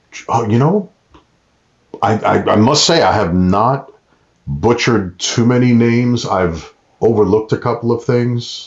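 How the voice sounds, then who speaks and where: Speaking fairly slowly in a New York accent, a man talks at a medium pitch with ordinary pitch variation. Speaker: ring announcer and actor. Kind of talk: casual interview chat.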